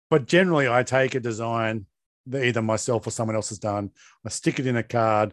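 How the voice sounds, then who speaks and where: Speaking in an Australian accent at a fairly quick pace, a man with a medium pitch and ordinary pitch variation is heard in a dry, close sound with no echo over a quiet background. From Tasmania, Australia. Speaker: podcast host. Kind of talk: casual chat.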